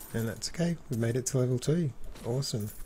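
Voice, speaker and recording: A man talks in an Australian accent with a somewhat breathy voice. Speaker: gaming video narrator. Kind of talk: let's play commentary. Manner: casual, hesitant with fillers.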